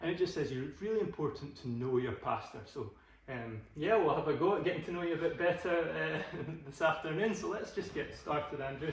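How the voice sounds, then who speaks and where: A man with a Scottish accent at a moderate pace, with audible room echo and noticeable background noise. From Glasgow. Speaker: podcast host. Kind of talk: casual chat. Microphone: phone recording, technical issues.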